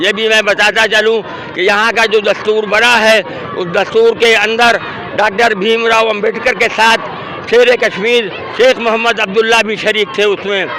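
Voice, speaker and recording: Against crowd noise in the background, a man speaks in a raised, projected voice, high-pitched and monotone, with flat intonation. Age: 80s+. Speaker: protest speaker. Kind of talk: interview at a protest. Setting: outdoors at a protest.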